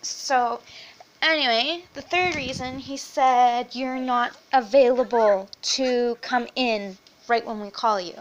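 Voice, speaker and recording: Speaking at a very slow pace, a woman uses a high pitch and ordinary pitch variation, with big swings in loudness. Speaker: vlogger. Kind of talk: casual chat. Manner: animated.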